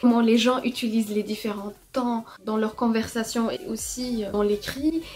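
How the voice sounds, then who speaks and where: A woman at a very slow pace, fairly high-pitched with fairly even intonation, over noticeable background noise. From Morocco. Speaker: artist. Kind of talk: testimony with tips.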